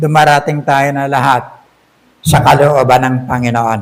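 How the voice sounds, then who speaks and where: A man's fairly high voice, with ordinary pitch variation, moves at a fairly slow pace. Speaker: pastor. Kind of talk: sermon. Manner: loud.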